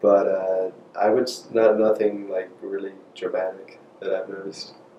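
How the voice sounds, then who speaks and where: Noticeable background noise accompanies a man speaking in an American accent at a moderate speed. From North Carolina, Albemarle. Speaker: interviewee. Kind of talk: interview answers.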